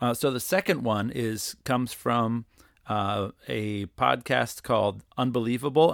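With vocal fry, a man talks at a moderate pace on a very clean recording with a silent background. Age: 30s. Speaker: podcast host and worship leader. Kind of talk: solo podcast monologue. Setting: studio. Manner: hesitant, many fillers.

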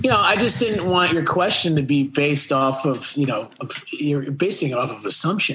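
In a plain, everyday voice, a man with a fairly high pitch speaks at a moderate pace with lively intonation. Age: 30s. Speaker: lead vocalist and rhythm guitarist of a pop punk band. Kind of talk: casual interview.

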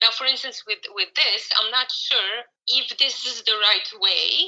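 A woman with a Croatian accent at a moderate pace. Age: 30s. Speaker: horse trainer. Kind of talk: interview. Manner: hesitant, many fillers.

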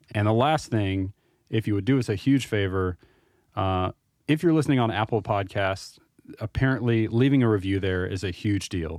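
In a normal speaking voice, a man talks at a moderate pace with ordinary pitch variation. The sound is dry and close, with no echo. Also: very clean recording, silent background. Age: 30s. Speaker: podcast host, IT worker. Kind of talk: casual chat.

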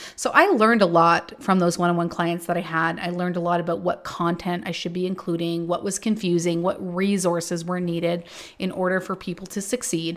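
A woman at a fairly low pitch in an animated tone, fairly quick and with hardly any pauses, in a very clean recording with a silent background. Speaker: online business mentor. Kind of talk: casual solo podcast monologue. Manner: blunt, animated.

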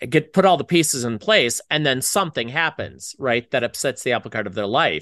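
A man's bright, sharp tone at medium pitch, with lively intonation and a fairly quick pace with hardly any pauses, in a dry, close sound with no echo and a quiet background. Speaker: screenwriter and screenwriting professor, podcast host. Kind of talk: casual chat. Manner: animated.

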